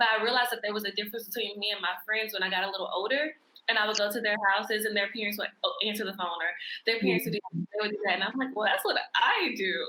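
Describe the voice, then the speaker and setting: A woman talks at a very fast pace and fairly high pitch with fairly even intonation, with noticeable background noise. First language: American Sign Language. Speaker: sign language instructor. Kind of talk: interview.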